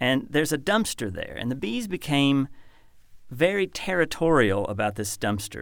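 On a very clean recording with a silent background, a man with an ordinary speaking voice talks at a moderate pace. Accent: American. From Kentucky, US. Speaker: poet and professor. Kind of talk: poetry reading, performed aloud with measured, literary delivery. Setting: studio. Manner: measured, contemplative, lyrical.

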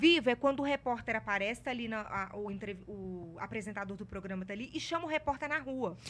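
A woman's fairly high voice at a fairly quick pace, with lively intonation. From Minas Gerais, Brazil (Ouro Preto). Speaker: journalist and TV presenter. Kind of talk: casual interview chat. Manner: talkative.

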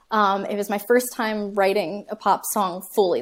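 A woman with an American accent at a medium pitch, in a very clean recording with a silent background. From US South, Georgia (Atlanta area). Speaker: singer-songwriter. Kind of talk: interview.

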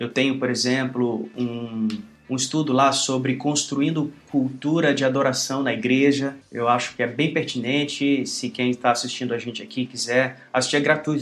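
Noticeable background noise sits behind this man's voice. He speaks at a medium pitch and moderate pace in a monotone, flat intonation. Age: 40s. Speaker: pastor and worship musician. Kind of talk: interview.

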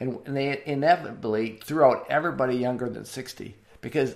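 At a moderate pace, a man speaks in a medium pitch with vocal fry. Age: 60s. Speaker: church planter and assessment developer. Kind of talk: interview conversation. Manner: halting.

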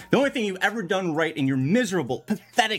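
Very fast and animated, a man speaks at a high pitch with very wide pitch swings. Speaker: fantasy league team owner, comedic promo. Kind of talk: scripted comedic rant, promo. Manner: animated, sarcastic, profane.

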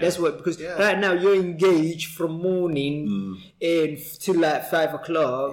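A man with a Cockney accent, high-pitched, with ordinary pitch variation and music in the background. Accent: East London Cockney. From East London. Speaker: podcast host. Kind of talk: casual, conversational, uses slang like "innit".

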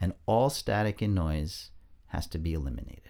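A man speaks with an American accent in a dark, mellow tone, his intonation lively. The recording is very clean, with a silent background. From New York suburbs, US. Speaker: documentary filmmaker. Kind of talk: interview. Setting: podcast studio.

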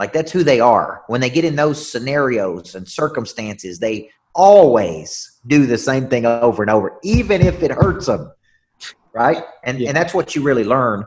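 Using a Southern US accent, a man speaks at medium pitch and a moderate pace. His voice moves in very wide pitch swings. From Tennessee. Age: 40s. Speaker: business coach and motivational speaker. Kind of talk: interview.

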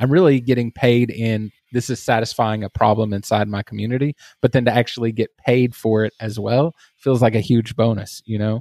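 With a Texas accent, a man talks at a fairly quick pace and medium pitch, his tone dark and mellow, his intonation fairly even, in a dry, close sound with no echo. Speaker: agency owner and online community founder. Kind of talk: casual interview chat.

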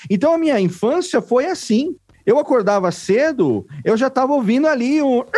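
A man's extremely high-pitched voice at a moderate pace, with very even loudness and lively intonation. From interior of São Paulo state, Brazil. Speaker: podcast producer and consultant. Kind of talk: casual interview.

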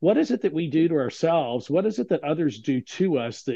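A plain, everyday voice from a man, fairly fast-paced and with ordinary pitch movement. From Texas. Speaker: author and LGBTQ career coach. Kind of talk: interview conversation.

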